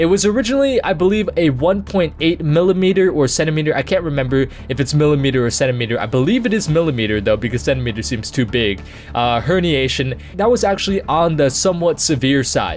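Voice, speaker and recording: Over music in the background, a man with a fairly high pitch speaks at a very fast pace with lively intonation and hardly any pauses. His loudness stays very even. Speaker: gaming YouTuber. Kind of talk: unscripted channel update vlog. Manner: quiet, low energy.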